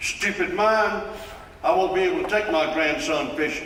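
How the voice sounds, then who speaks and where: Raising and projecting his voice, a man with a Southern US accent speaks at a high pitch with very wide pitch swings, amid noticeable background noise and audible room echo. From South Carolina. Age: 70s. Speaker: local resident. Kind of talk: public hearing statement.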